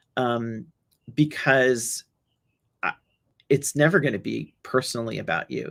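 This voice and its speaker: A woman speaks with a very deep, low pitch and vocal fry. She has a New York accent. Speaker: solutions engineer. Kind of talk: webinar talk with audience Q&A. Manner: halting, with many repetitions and fillers.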